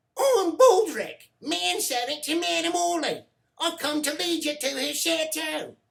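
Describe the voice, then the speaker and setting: This put-on character voice has a high pitch and moves at a fairly slow pace. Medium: read story. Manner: meek, stammering.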